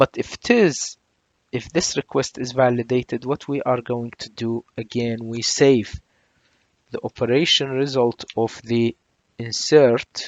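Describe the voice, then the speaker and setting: With an ordinary speaking voice, a man talks at medium pitch and fairly even intonation. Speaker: programming tutor. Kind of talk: tutorial.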